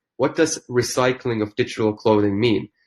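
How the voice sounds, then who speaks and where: A non-native accent at a moderate pace on a very clean recording with a silent background. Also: man. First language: not English. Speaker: founder of a digital fashion company. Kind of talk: podcast interview. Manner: hesitant with fillers and restarts.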